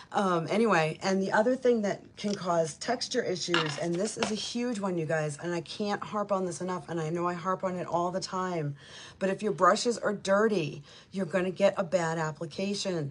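There is noticeable background noise as a woman talks at a moderate pace. Her medium pitch shows ordinary pitch variation. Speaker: makeup consultant. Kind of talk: tutorial. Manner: casual chatty.

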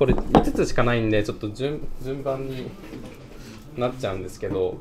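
A man speaks against loud background noise. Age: 20s. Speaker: dried-flower wreath maker. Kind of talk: workshop instruction. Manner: polite, soft-spoken. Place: hall. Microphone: camera far.

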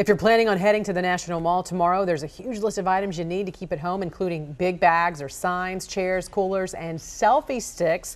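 This woman talks at a fairly quick pace with hardly any pauses and ordinary pitch variation. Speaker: TV news anchor. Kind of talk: TV newscast reading. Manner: polished, clear, formal. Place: studio.

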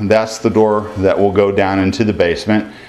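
A man talks at a moderate pace in an ordinary speaking voice. His pitch sits fairly low. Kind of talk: casual vlog chat. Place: home room. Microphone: phone near.

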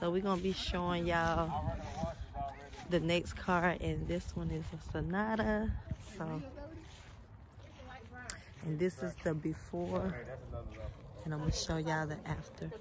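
A woman speaks at a fairly slow pace with fairly even intonation, leaving long, frequent pauses. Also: fairly low pitch for a woman.

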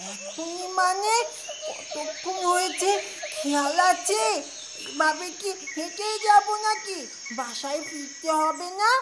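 Over loud background noise, a whiny put-on character voice speaks with long, frequent pauses. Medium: puppet show. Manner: panicky, whiny.

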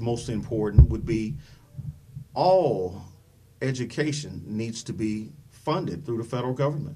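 With a dark, mellow tone and vocal fry, a man speaks at a medium pitch and a fairly slow pace, his intonation lively and his pauses long and frequent. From US Midwest (Dayton, Ohio). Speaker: political candidate. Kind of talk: interview. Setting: studio. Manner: halting, many fillers.

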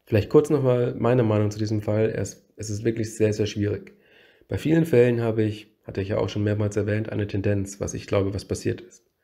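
A man speaks in a fairly low, somewhat breathy voice with a dark, mellow tone and fairly even intonation. The pace is fairly quick, and the recording is very clean with a silent background. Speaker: true crime YouTuber. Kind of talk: narrated case presentation.

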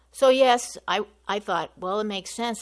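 Heard in a very clean recording with a silent background, the voice has vocal fry and ordinary pitch variation. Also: woman. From US, Italian-speaking household. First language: Italian. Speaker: public commenter at council meeting. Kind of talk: public comment. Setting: council chambers. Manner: halting.

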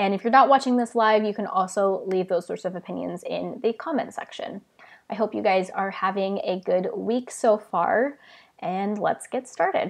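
A woman talks at a moderate pace with a quiet background behind her. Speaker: book vlogger. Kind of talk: casual live stream chat. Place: home room. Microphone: earbuds.

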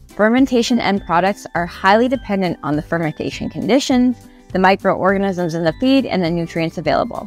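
A woman speaks at a moderate pace, the sound dry with no echo and faint music in the background. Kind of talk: educational explainer. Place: open country. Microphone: lapel.

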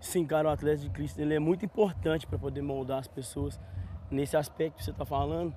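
A man's fairly high voice with a dark, mellow tone, very wide pitch swings and a very fast pace, dry with no echo over light background noise. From Minas Gerais, Brazil. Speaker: church sports ministry member; interviewee. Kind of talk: on-site interview; interview answer. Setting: outdoors on a football pitch. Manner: halting, repeats words. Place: open country. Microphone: lapel.

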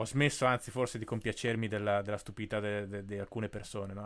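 This man has a plain, everyday voice, fairly low in pitch, moving at a fairly quick pace with fairly even intonation. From Italy, Bolzano; Italy. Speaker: podcast host. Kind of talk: interview. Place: home room. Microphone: studio mic.

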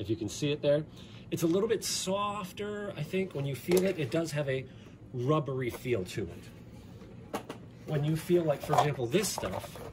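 Long, frequent pauses at a moderate pace, with noticeable background noise. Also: man. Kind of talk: tutorial. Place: home room. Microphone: phone near.

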